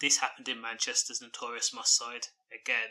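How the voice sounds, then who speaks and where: Here a man speaks with a British accent. His tone is bright and sharp, his pace moderate. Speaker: crime news commentator. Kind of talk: news commentary. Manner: monotone.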